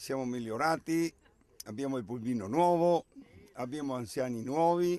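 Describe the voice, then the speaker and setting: A man's dark, mellow voice comes with long, frequent pauses. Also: medium pitch for a man, ordinary pitch variation, moderate pace. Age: 70s. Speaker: volunteer driver for elderly. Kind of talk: TV interview.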